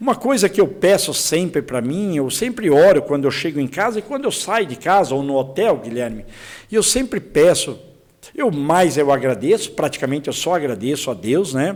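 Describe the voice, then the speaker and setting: A fairly high-pitched male voice with very wide pitch swings, at a moderate pace. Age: 60s. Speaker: politician, congressional candidate. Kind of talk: political interview. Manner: repetitive, halting with restarts.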